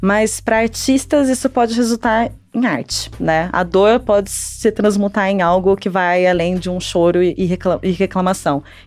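With a plain, everyday voice, a woman speaks at a fairly slow pace and a medium pitch, using ordinary pitch variation and hardly any pauses. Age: 30s. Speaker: astrologer co-host. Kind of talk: casual podcast chat.

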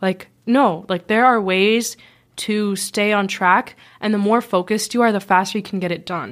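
A woman with an ordinary speaking voice, medium pitch, fairly even intonation and a moderate pace, on a very clean recording with a silent background. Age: young. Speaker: college-bound student. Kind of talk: casual chat. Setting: studio.

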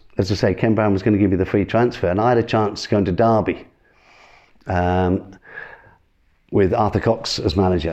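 A man with an East Midlands accent speaks at a fairly quick pace with fairly even intonation. His pauses are long and frequent, and his loudness stays very even. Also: fairly low pitch for a man. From Northamptonshire, England. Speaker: former footballer. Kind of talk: interview storytelling.

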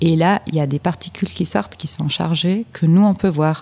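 A woman speaks with a non-native accent, her pitch fairly low and her pitch variation ordinary. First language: not French (speaking French). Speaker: particle physics PhD student. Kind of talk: interview. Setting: science film festival. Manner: halting.

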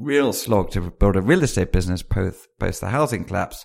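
Fairly low-pitched man with a British accent, fairly quick pace and ordinary pitch variation, in a very clean recording with a silent background. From UK. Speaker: venture capitalist. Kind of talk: interview.

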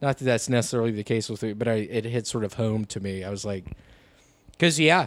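A man talks with a Southern US accent. His pitch sits mid-range, with ordinary variation. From US South. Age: 30s. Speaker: comedian. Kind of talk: casual chat.

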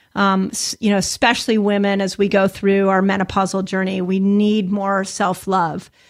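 In an unremarkable speaking voice, a woman talks at medium pitch and a moderate pace. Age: 50s. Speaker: health podcast host. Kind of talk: interview.

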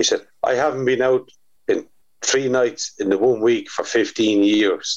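A man with a Waterford accent talks at a fairly slow pace, his loudness very even throughout. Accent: Waterford Irish. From Ireland, Waterford. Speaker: drummer and former promoter. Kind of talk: casual chat.

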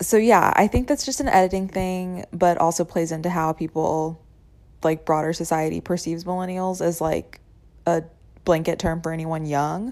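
This woman has an unremarkable speaking voice with a fairly low pitch. She talks at a moderate pace with fairly even intonation. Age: 30s. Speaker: listener leaving voicemail. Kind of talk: voicemail.

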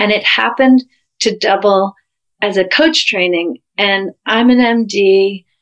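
A woman speaks at a very slow pace and a medium pitch. The recording is dry and close, without echo. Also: ordinary pitch variation. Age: 50s. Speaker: physician and couples coach. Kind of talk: interview.

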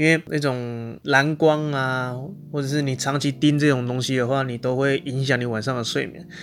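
Here a man has an unremarkable speaking voice at medium pitch, with ordinary pitch variation. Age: 20s. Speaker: podcast host. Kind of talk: casual chat.

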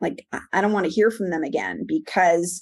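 In a New York accent, a woman speaks with ordinary pitch variation against a quiet background. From New York area (Manhattan, Long Island, New Jersey). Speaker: promotional products seller. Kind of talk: interview.

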